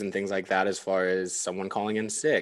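A man with a normal speaking voice talks at a moderate pace. His pitch is fairly low, and the background is quiet. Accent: American. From California mountain small town. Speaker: restaurant manager. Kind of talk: casual chat.

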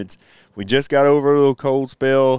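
A man speaks at a moderate pace and medium pitch. The sound is dry and close, with no echo. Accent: Texan. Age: 40s. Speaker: podcast co-host, school worker. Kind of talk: casual chat.

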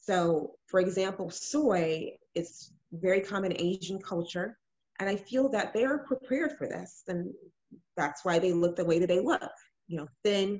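With an American accent, a woman talks at a moderate pace in a plain, everyday voice pitched at a medium level. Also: lively intonation. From Illinois, US Midwest; Ghanaian family. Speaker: nurse and fibroids advocate. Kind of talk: podcast interview.

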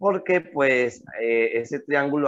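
The speed of this man's talk is very slow. He keeps a medium pitch. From Colombia. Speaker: podcast co-host. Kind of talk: casual chat.

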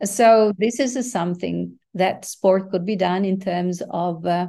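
Over a quiet background, a woman with a non-native accent speaks at a medium pitch in a dark, mellow tone. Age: 60s. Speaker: former international organization executive. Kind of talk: interview.

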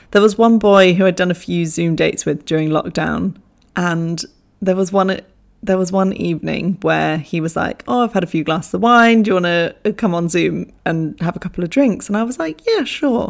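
A woman speaks with an English accent at a moderate pace. Her pitch sits fairly low, with ordinary variation. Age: 20s. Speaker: podcast host. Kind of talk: casual storytelling monologue. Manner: animated, laughing often.

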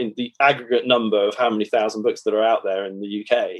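The speaker is a man with an English accent. He talks at a fairly quick pace with ordinary pitch variation. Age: 40s. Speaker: author and investment professional. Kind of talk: interview. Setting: video call.

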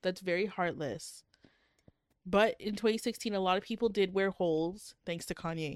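The recording is very clean, with a silent background, capturing a woman with a normal speaking voice. She speaks at a medium pitch and moderate pace with ordinary pitch variation. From Canada. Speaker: podcast co-host. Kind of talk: casual banter podcast chat reviewing books.

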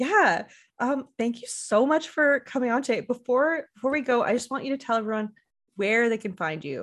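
Lively intonation carries this moderate-paced speech over a quiet background. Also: woman, high pitch for a woman. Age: 30s. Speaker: podcast host. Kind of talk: casual chat.

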